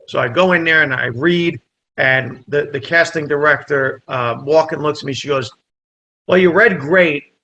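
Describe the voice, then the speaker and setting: With a New Jersey accent, a man speaks at a moderate pace and a fairly high pitch, with ordinary pitch variation. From New Jersey, Italian immigrant family. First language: Italian. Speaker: comedian and actor. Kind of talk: casual chat, storytelling. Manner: animated.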